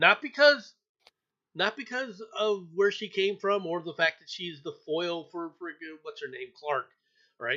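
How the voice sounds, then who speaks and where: This man talks with a raised, projected voice that is high-pitched and bright and sharp in tone. His loudness swings widely. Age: 60s. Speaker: news podcast host. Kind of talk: casual chat.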